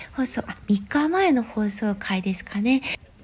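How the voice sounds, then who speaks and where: There is noticeable background noise as a woman speaks. Her pace is moderate and her intonation lively. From Japan, Gifu. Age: 40s. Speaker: podcast host and dancer. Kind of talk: casual solo talk. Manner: polite, with many fillers.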